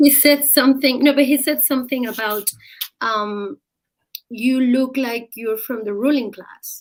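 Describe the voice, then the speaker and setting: A woman talks at a high pitch and a fairly slow pace in a strong Mexican accent. Her pitch variation is ordinary, while her loudness swings widely. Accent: heavy Mexican Spanish. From Mexico. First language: Spanish. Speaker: journalist and columnist. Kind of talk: interview on live stream.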